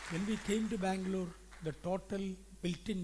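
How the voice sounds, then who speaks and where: A man speaks with an Indian accent. Room echo can be heard. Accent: Indian accent, noticeable. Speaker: pastor. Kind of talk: sermon. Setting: church conference.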